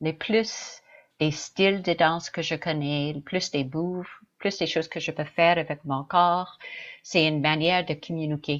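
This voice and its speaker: With a slight English accent, a woman speaks in a fairly low pitch and fairly even intonation. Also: fairly slow pace. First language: English (speaking French). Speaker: dancer. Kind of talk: interview. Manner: halting.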